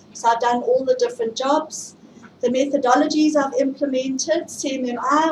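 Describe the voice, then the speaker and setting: A woman's high-pitched voice with a South African accent, at a moderate pace, over noticeable background noise. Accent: South African, often mistaken for Australian. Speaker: IT project management speaker. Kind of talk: tech meetup presentation. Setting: stage with audience, livestreamed.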